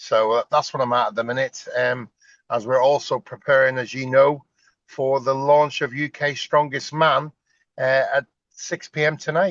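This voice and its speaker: With a Northern Irish accent, a man speaks at a moderate pace in a fairly high pitch, his intonation fairly even and the sound dry and close with no echo. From Northern Ireland. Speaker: strongman competition promoter, former strongman. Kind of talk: interview. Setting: sitting in a car.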